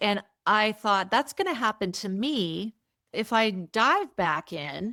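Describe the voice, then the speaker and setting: A woman talks very slowly in a fairly high voice with a bright, sharp tone and lively intonation. The recording is very clean and dry, close with no echo, and the background is silent. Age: 60s. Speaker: entrepreneur. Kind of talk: interview.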